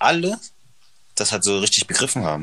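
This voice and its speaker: A bright, sharp tone carries speech that swings very widely in pitch. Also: man. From northern Germany, Hannover. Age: 20s. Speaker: model and actor. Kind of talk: casual interview.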